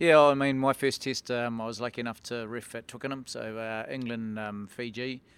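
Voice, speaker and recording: A man at medium pitch with a New Zealand accent, fairly even intonation, a moderate pace and hardly any pauses, in a very clean recording with a silent background. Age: 40s. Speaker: rugby referee and former player. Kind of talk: casual interview.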